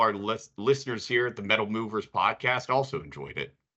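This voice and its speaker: The speaker has an American accent and an ordinary speaking voice. The pace is fairly quick. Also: man. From Pittsburgh, US. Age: 30s. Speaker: podcast host, business development. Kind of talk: interview; scripted intro.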